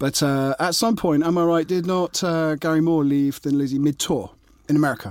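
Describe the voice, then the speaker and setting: This is an unremarkable speaking voice with very even loudness. The recording is very clean, with a silent background. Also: man, fairly high pitch for a man, ordinary pitch variation, fairly quick pace. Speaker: author and podcast co-host. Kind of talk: casual banter.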